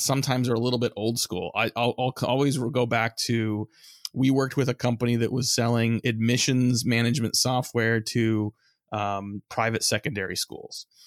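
With a dry, close sound and no echo, a man talks at a fairly quick pace in an ordinary speaking voice of medium pitch. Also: very clean recording, silent background. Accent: American. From US West Coast (San Francisco Bay Area). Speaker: marketing agency founder. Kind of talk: interview.

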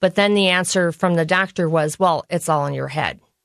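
A woman with an Upper Midwest accent talks at a moderate pace with fairly even intonation. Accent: Upper Midwest American. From US Midwest. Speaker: nutrition educator. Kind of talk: personal testimony interview. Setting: studio.

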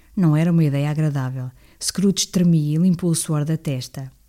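A woman's dark, mellow voice in a European Portuguese accent, at a moderate pace with ordinary pitch variation, on a very clean recording with a silent background. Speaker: audiobook reader. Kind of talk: reading aloud. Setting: living room at home. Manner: occasional hesitations and self-corrections.

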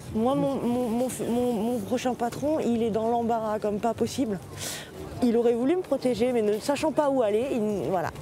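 A woman with a fairly high voice speaks at a moderate pace with ordinary pitch variation over noticeable background noise. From southern France, Marseille. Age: 30s. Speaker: seasonal worker. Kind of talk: casual interview.

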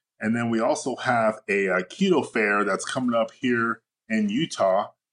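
Using a normal speaking voice, a man talks at a moderate pace with medium pitch and ordinary pitch variation. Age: 40s. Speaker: fitness coach. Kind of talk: casual interview.

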